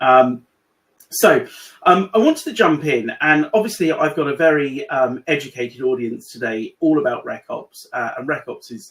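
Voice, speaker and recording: A man speaks with a British accent. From UK. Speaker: AI consultant in recruitment. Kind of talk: webinar presentation. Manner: hesitant, many fillers.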